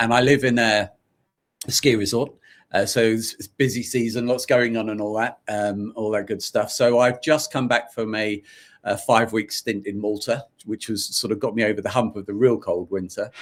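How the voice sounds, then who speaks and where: At a moderate pace, a man with a medium-pitched voice speaks with fairly even intonation. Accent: London. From London, England (Irish family). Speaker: author, podcaster and business founder. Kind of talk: interview. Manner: halting, many repetitions and fillers.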